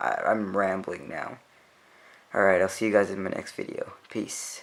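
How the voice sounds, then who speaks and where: A quiet man at a fairly slow pace, with fairly even intonation. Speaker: tech youtuber. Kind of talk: tutorial.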